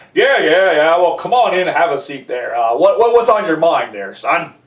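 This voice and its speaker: Using a gruff, put-on character voice, the speaker moves at a moderate pace. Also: man, high pitch for a man. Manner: gruff, asking questions.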